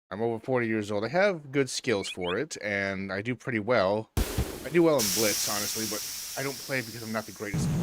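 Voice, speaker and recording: An American accent at a fairly quick pace, with noticeable background noise. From Chicago, US Midwest. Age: 40s. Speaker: gaming streamer. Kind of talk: casual gameplay commentary with reading game dialogue aloud. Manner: relaxed.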